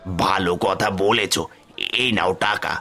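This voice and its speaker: A raspy, cartoonish character voice from a man, fairly low in pitch, with music in the background. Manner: friendly, appreciative.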